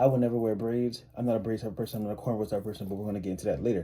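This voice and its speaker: At a very fast pace, a man talks in a fairly low pitch with ordinary pitch variation and a dark, mellow tone. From US South, New Orleans, Louisiana. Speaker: YouTuber. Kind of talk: opinion vlog. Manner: casual, filler-heavy.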